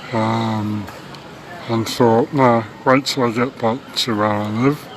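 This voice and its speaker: A man at a very slow pace with fairly even intonation, over noticeable background noise. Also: medium pitch for a man. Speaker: vegan activist. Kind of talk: casual talk to camera. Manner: hesitant, many filler words.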